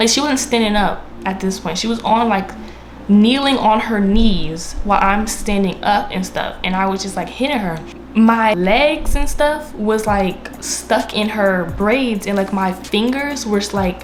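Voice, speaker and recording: Against noticeable background noise and audible room echo, a woman with an American accent talks fairly slowly at a fairly high pitch with ordinary pitch variation. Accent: DMV accent, stronger when angry. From DMV area (Washington DC region), US. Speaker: YouTuber. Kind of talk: storytime monologue. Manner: casual, filler-heavy.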